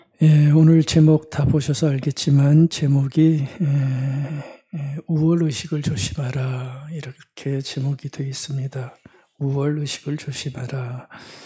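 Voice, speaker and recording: A man speaks at a very slow pace. His voice is fairly high and his intonation monotone and flat. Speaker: pastor. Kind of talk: sermon. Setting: church service, livestream. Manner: conversational, many fillers.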